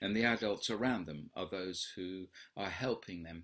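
A man with a very deep, low pitch, fairly slow pace and fairly even intonation, set against a quiet background. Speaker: movement education teacher. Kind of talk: live online Q&A lecture. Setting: video call. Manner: warm, encouraging. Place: home room.

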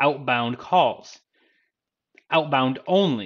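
A man at a fairly slow pace, with a quiet background. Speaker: IT trainer. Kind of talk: tutorial. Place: home room.

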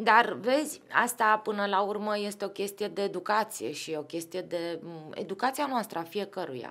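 A woman speaks at a moderate pace. Her intonation is lively. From Romania, Craiova then Bucharest; Romania. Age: 40s. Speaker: football club executive; podcast guest. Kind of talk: casual chat. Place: studio. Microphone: studio mic.

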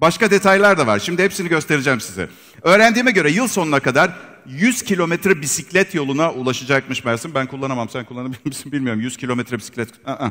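A man races along at a very fast pace over a quiet background. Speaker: presenter. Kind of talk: product launch presentation. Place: hall.

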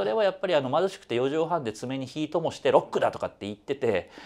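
A man's very fast speech with very wide pitch swings. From Osaka, Kansai; Japan. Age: 50s. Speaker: music critic; interviewee. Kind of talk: interview. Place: studio. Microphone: lapel.

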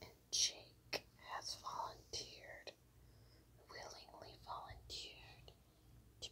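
A woman whispering. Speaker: ASMR creator. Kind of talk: casual talk to camera. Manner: whispered. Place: home room. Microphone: lapel.

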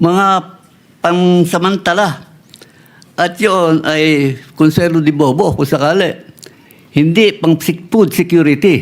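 A man talks at a very slow pace with a high pitch, fairly even intonation and very even loudness. Long, frequent pauses break up his speech. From Philippines, Nueva Ecija. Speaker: farmer leader and agricultural engineer. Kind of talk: interview. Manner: halting.

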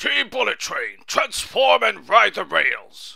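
At a fairly slow pace, the speaker puts on a character voice. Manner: commanding, shouted.

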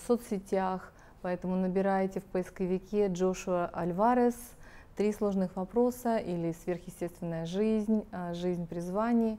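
A woman's dark, mellow tone, with monotone, flat intonation at a moderate pace. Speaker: TV host. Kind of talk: interview. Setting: studio. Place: studio. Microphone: lapel.

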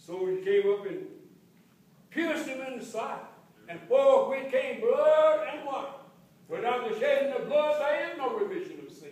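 A man speaks at an extremely high pitch and a moderate pace, with very wide pitch swings and big swings in loudness. He takes long, frequent pauses, and audible room echo is present. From Texas. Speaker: preacher. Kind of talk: sermon. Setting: church. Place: church. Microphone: camera far.

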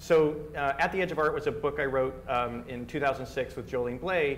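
Amid light background noise, a man talks with ordinary pitch variation. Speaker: speaker. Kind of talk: lecture. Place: classroom.

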